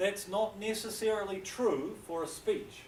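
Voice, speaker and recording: A man with a New Zealand accent speaks amid audible room echo. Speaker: university English lecturer. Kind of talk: lecture.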